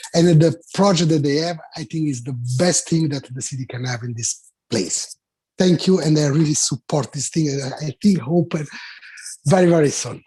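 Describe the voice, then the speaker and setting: A man with an Italian accent speaks at a fairly high pitch in a dark, mellow, somewhat breathy tone. His loudness swings widely, with ordinary pitch variation at a moderate pace. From Italy. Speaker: restaurant owner. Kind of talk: public testimony. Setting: remote video meeting. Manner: halting.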